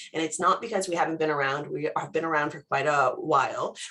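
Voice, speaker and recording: At a very fast pace, a woman speaks in a very deep, low pitch. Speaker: cybersecurity company presenter. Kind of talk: webinar presentation. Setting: video call. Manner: casual, conversational.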